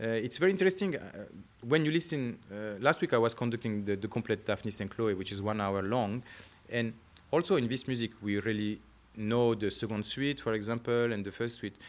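A man talks with a French accent. His pitch varies in an ordinary way. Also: medium pitch for a man. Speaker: orchestra conductor. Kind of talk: interview. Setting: concert hall. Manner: halting.

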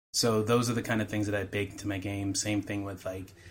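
A man with an American accent speaks in a fairly low pitch. His intonation is flat and monotone. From Chicago suburbs. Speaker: game writer. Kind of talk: casual chat.

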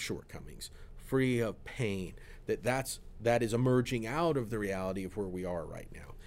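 Here is a man with an American accent and a plain, everyday voice. His pitch is medium with ordinary variation, and his pace is moderate. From Florida. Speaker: pastor. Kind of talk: casual chat.

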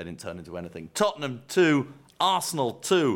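Over a very clean recording with a silent background, a man with a fairly high voice and vocal fry swings his pitch very widely. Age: 50s. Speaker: football podcast co-host. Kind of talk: casual chat. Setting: studio.

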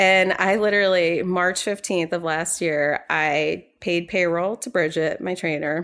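In an American accent, a plain, everyday voice speaks with fairly even intonation. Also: woman. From New York. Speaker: financial company founder. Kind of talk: interview.

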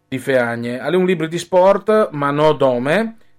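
A man is talking. Music plays in the background. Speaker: sports radio host. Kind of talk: radio sports talk.

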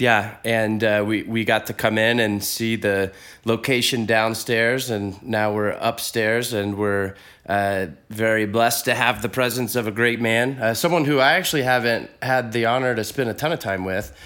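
On a very clean recording with a silent background, a man with an American accent speaks at a moderate pace in a medium pitch, in a plain, everyday voice with fairly even intonation. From Texas. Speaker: podcast host. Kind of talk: interview. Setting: in person, on location.

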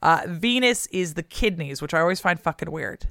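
A woman with an American accent speaks in a fairly low voice, animated in tone and lively in intonation. The recording is very clean, with a silent background and a dry, close sound with no echo. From US West Coast. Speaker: historian, podcast co-host. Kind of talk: casual chat and historical explainer.

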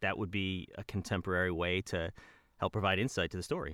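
A man talks with an American accent. The sound is dry and close with no echo, on a very clean recording with a silent background. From US Midwest, suburbs of Detroit. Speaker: voice actor. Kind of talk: interview. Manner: halting, many repeated words.

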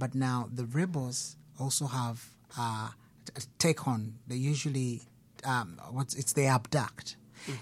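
A man speaks in a somewhat breathy voice at a fairly slow pace. His pitch variation is ordinary, and he takes long, frequent pauses. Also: medium pitch for a man. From Uganda. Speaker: musician. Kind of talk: interview. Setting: studio.

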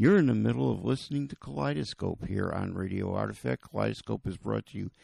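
A man's fairly low voice in a dry, close sound with no echo. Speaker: radio host. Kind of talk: radio DJ patter, back-announcing songs and promoting the show and a festival. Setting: radio studio broadcast. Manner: relaxed, chatty, easygoing.

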